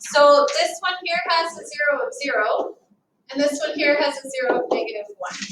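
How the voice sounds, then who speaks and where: Lively intonation marks this woman's speech. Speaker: math teacher. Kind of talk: recorded lesson walkthrough. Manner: fast.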